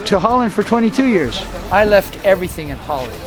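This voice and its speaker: A man with an American accent talks at a fairly quick pace with ordinary pitch variation over noticeable background noise. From US and Guatemala. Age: 60s. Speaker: diving promoter and spiritual speaker. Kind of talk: interview.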